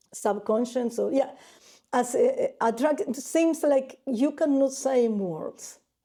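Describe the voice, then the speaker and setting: At a very slow pace, a woman with a non-native accent speaks at a high pitch with ordinary pitch variation and a dark, mellow tone, in a very clean recording with a silent background. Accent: non-native English, self-described as weak. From Argentina. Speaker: painter. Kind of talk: interview. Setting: artist's studio. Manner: halting.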